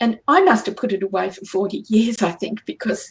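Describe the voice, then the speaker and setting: A somewhat breathy woman with an Australian accent, fairly high pitch, lively intonation and a fairly quick pace. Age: 60s. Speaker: angel channeler and healer. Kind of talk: radio interview. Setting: radio show.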